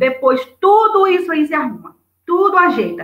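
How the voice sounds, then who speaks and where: A woman speaks with lively intonation. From Brazil, interior of Bahia (Juazeiro). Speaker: writer. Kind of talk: interview. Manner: fast; animated.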